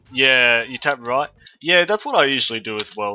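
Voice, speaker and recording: Speaking with a slight Australian accent, a man uses a medium pitch at a moderate pace. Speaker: video game streamer. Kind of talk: casual live-stream chat. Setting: live stream.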